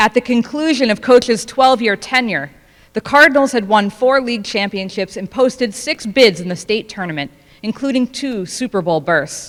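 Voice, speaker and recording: At a moderate pace, a woman talks with lively intonation. Her pitch sits fairly high. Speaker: family member giving speech. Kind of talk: prepared speech. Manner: loud.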